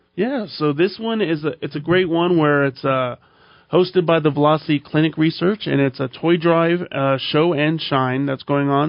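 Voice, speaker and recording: Delivered at a moderate pace, this is an ordinary speaking voice with ordinary pitch variation. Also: man. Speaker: co-host. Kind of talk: casual radio banter. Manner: upbeat, chatty.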